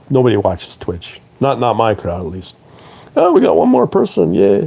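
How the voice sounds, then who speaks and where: Against noticeable background noise, a man with a fairly low voice speaks at a moderate pace with lively intonation. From Canada (Toronto). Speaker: trading educator and live streamer. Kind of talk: live stream talk to viewers. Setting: live stream. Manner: hesitant, many fillers.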